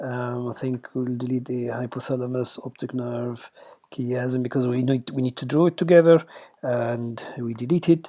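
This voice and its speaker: At a moderate pace, the speaker talks with a strong Arabic accent. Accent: Arabic accent, self-described as strong. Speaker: radiation oncologist teaching junior colleagues. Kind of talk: lecture. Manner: halting, many fillers; informal.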